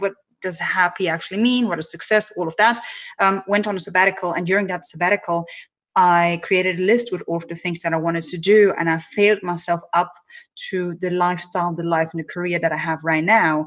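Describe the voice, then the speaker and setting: Speaking with a non-native accent, a woman uses a fairly low pitch and fairly even intonation at a fairly quick pace. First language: not English. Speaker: personal branding strategist and keynote speaker. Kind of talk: interview.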